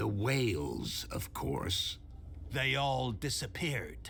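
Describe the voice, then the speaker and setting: Clear background noise sits behind this recording. A man speaks very slowly in a put-on character voice. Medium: video game. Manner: sly, evasive.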